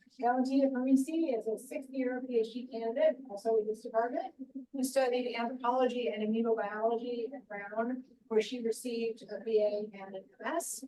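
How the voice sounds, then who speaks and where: Over noticeable background noise, a woman with a high pitch speaks at a fairly quick pace and with fairly even intonation. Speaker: academic event moderator. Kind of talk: event introduction. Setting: lecture room with microphone and Zoom.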